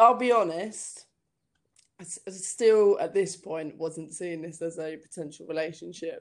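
A woman with a southern English accent speaks fairly slowly in a fairly low voice with ordinary pitch variation. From southern England (Hampshire, near Southampton). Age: 30s. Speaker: comedian. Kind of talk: casual chat. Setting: call.

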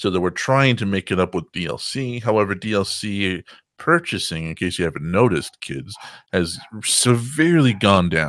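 A man with a fairly low pitch talks at a moderate pace. He has an ordinary speaking voice, on a very clean recording with a silent background. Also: lively intonation. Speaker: podcast host guest. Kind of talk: casual chat. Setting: voice chat call.

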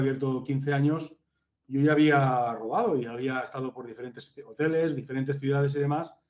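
A man's plain, everyday voice at a fairly high pitch, with fairly even intonation and a moderate pace. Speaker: hotel general manager. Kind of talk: interview.

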